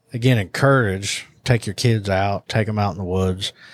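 In a Southern US accent, a man with a fairly low pitch speaks at a moderate pace and fairly even intonation on a very clean recording with a silent background. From US South. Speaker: hunting products podcast host. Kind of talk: casual chat.

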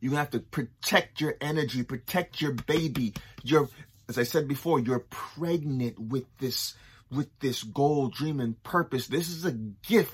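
This man has a somewhat breathy, animated tone, speaking at a fairly slow pace with ordinary pitch variation. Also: fairly high pitch for a man. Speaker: motivational speaker. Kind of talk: pep talk. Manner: encouraging, repetitive.

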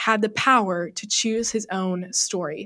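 A woman with a plain, everyday voice and medium pitch talks with ordinary pitch variation in a very clean recording with a silent background. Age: 20s. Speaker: author and college student. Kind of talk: interview.

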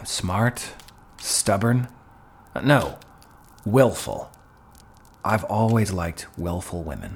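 A man adopts a put-on character voice, low-pitched with big pitch swings, talking at a slow pace with long, frequent pauses.

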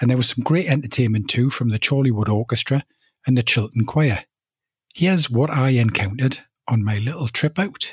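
A man with a British accent speaks at a fairly quick pace, somewhat breathy and at a medium pitch. His loudness stays very even, and the sound is dry and close with no echo in a very clean recording with a silent background. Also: ordinary pitch variation. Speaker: podcast host. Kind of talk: podcast presenting and interviewing. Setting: on location at a village hall.

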